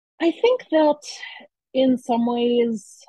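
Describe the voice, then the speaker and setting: A somewhat breathy woman with an American accent speaks with ordinary pitch variation. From US East Coast, Baltimore suburbs. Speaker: writer and zine publisher. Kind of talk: interview.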